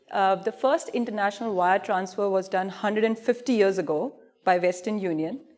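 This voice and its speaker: Speaking with an Indian accent, a woman shows ordinary pitch variation. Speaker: payments industry expert presenting. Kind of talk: conference presentation. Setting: stage with audience. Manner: animated.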